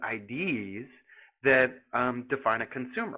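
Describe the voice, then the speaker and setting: Bright and sharp in tone, a man talks with an American accent. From US, Philadelphia. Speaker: analytics product evangelist. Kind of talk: webinar presentation. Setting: live webinar. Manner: halting, many fillers.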